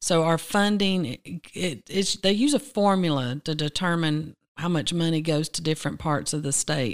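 With a Southern US accent, a woman speaks at a moderate pace with hardly any pauses, fairly low pitch and lively intonation, in a very clean recording with a silent background and a dry, close sound with no echo. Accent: Southern US (Georgia). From US South, Rome, Georgia. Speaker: agency director, dietitian. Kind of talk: interview. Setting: studio.

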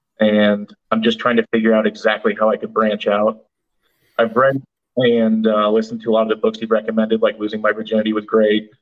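Fairly quick delivery in a Midwestern US accent, monotone and flat in intonation. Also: man, medium pitch for a man. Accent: US Midwest. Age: 20s. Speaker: caller, tractor salesman. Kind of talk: call-in conversation.

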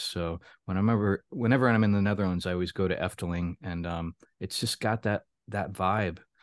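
A man in a plain, everyday voice with an American accent speaks at fairly low pitch and a moderate pace with fairly even intonation, the sound dry and close with no echo against a quiet background. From Florida. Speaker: author and publisher. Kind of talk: casual interview.

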